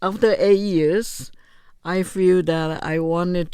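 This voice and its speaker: Dark, mellow tone from a woman, her intonation fairly even. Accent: Chinese. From Taiwan, Chiayi (south). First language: Mandarin Chinese. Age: 70s. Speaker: retired teacher and businesswoman. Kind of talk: interview. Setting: studio.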